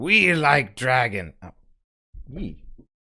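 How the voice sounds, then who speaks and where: This is a put-on character voice at a low-to-middle pitch. Its pitch swings very widely. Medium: actual play. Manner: simple broken speech.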